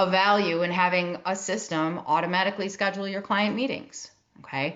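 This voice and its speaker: This voice carries a Midwestern accent. Its pitch varies in an ordinary way. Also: woman. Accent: Midwest. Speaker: tech and operations consultant for advisory firms. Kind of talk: webinar presentation.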